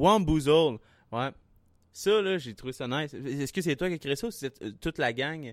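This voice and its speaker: With a Quebec accent, a man speaks in a fairly high voice and lively intonation on a very clean recording with a silent background. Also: fairly slow pace. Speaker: podcast host. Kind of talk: casual chat.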